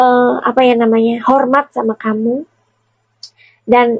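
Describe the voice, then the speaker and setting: Speaking at a fairly slow pace, a woman has a high pitch. The sound is dry and close, with no echo. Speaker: tarot reader and celebrity commentator. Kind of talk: casual chat. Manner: halting.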